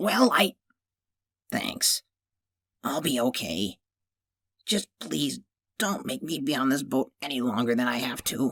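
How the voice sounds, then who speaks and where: A raspy, put-on character voice sits at a low-to-middle pitch. It moves at a fairly slow pace with long, frequent pauses. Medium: read story. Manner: curt and guarded.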